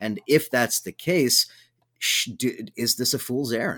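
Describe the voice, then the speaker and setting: Over a silent background in a very clean recording, a man with an American accent and an unremarkable speaking voice talks at a moderate pace in a medium pitch with ordinary pitch variation. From Southern California. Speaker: radio host. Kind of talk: radio interview.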